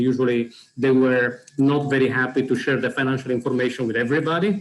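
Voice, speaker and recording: A man with an Italian accent talks at a very fast pace. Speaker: program organizer presenting a platform. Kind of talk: webinar presentation. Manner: hesitant, many fillers.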